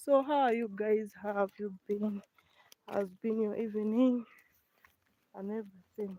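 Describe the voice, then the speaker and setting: The speaker talks at a fairly slow pace with a Ugandan accent. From eastern Uganda. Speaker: village life vlogger. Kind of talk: live stream walking vlog. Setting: outdoors walking in the village.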